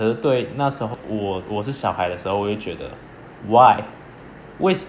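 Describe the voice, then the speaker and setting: At a moderate pace, a man with a fairly low pitch speaks through audible room echo and noticeable background noise. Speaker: podcast co-host. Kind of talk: casual chat.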